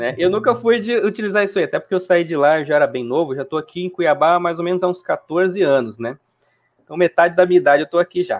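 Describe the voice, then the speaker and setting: A man rattles off words at a very fast pace in a high pitch. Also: ordinary pitch variation. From Brazil, interior of Mato Grosso (Juara). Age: 20s. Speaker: gaming YouTuber. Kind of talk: casual interview. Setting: live stream.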